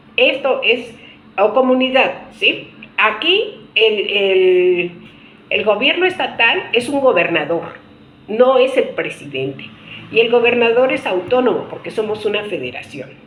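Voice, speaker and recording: Over noticeable background noise and audible room echo, a woman speaks in a fairly high voice with very wide pitch swings. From Mexico. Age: 60s. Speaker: political commentator. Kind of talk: video monologue. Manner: halting, with fillers and restarts.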